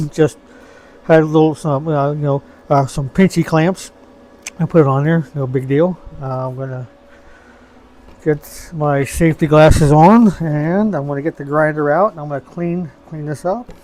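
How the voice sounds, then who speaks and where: A man with a dark, mellow tone talks at a moderate pace, leaving long, frequent pauses. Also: ordinary pitch variation. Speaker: hobbyist DIY video maker. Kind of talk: casual tutorial. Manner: halting, many fillers. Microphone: recorded on old iPhone.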